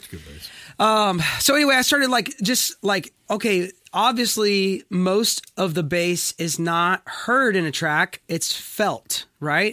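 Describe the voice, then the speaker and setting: A man with an American accent uses a raised, projected voice, high in pitch with a bright, sharp tone and lively intonation, speaking very slowly. The recording is very clean and dry, close with no echo, over a silent background. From US South, Wilmington, North Carolina. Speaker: session musician. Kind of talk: casual chat.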